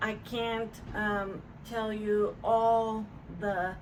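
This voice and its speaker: A woman talks at a very slow pace with a medium pitch. Noticeable background noise and audible room echo fill the recording. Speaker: stroke survivor with aphasia, vlogger. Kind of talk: personal testimony to camera. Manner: slow, halting with many fillers; word-finding pauses and repetitions.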